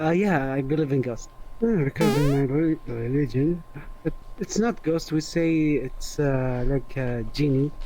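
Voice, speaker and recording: A man's fairly high voice with a non-native accent, fairly slow, with very even loudness, ordinary pitch variation and noticeable background noise. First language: not English. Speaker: VRChat user interviewed. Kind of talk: casual chat. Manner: halting.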